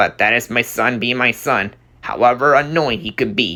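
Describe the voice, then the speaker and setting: A man puts on a character voice at a medium pitch. He keeps a moderate pace with ordinary pitch variation. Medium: read story. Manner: stiff, dry.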